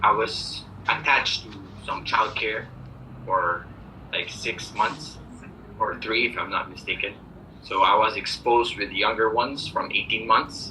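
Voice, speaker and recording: Amid noticeable background noise and audible room echo, a man talks at a fairly slow pace with long, frequent pauses. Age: 20s. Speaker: preschool teacher. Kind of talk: job interview. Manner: hesitant, many fillers.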